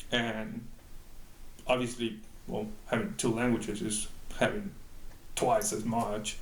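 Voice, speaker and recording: A man talks at a fairly slow pace with long, frequent pauses, and audible room echo fills the recording. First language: Spanish. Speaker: bilingual employee. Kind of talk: interview answer. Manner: halting, many fillers.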